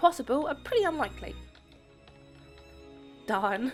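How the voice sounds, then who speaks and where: Music plays behind a woman with a high-pitched voice. Her pace is moderate. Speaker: gaming YouTuber. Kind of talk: gameplay commentary.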